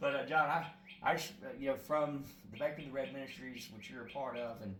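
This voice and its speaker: A man is heard with audible room echo. Noticeable background noise runs under his speech. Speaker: prison ministry evangelist. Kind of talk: interview. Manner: loud; halting.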